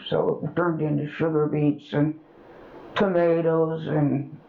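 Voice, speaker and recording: A woman's very deep, low pitch in an American accent, at a fairly slow pace, over noticeable background noise. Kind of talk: oral history interview answer.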